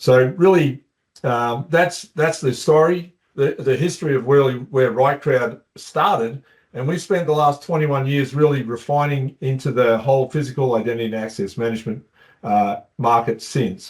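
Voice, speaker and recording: A man speaks in an Australian accent at a moderate pace. His pitch variation is ordinary. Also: medium pitch for a man. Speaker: company co-founder. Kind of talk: webinar presentation. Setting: online webinar.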